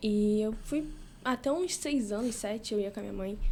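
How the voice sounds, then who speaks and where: A woman speaks at a moderate pace with a dark, mellow tone. Her pitch is fairly high and varies in an ordinary way. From Rio de Janeiro, Baixada Fluminense. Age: 20s. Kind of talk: casual interview, faith testimony.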